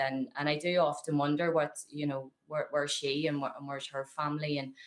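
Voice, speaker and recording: Speaking with a strong Belfast accent, a woman uses a very deep, low pitch and monotone, flat intonation at a moderate pace. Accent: thick Belfast. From Northern Ireland, Belfast. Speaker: activist. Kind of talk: interview testimony. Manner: halting, many fillers and repeats.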